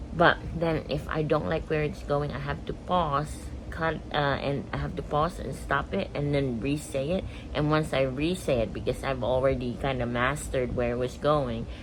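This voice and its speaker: Noticeable background noise and audible room echo around a woman speaking at a moderate pace. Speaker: daily vlogger. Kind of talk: casual vlog monologue. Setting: bedroom, home video. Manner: halting, pausing to find words.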